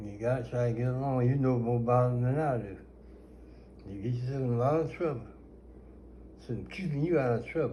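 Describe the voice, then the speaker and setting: Somewhat breathy and dark, mellow in tone, a man speaks at medium pitch and a moderate pace with ordinary pitch variation. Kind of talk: storytelling interview answer.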